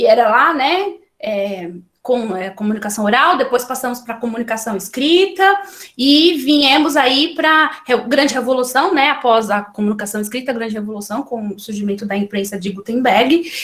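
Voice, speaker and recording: The woman's voice is high-pitched with lively intonation. She talks at a moderate pace, and room echo is audible. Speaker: librarian giving a talk. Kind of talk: lecture. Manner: halting, many fillers and restarts.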